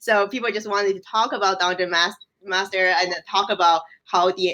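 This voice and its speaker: A woman with a Chinese accent talks at a fairly quick pace, her medium pitch carrying a bright, sharp tone. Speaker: games researcher. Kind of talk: casual chat. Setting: live stream.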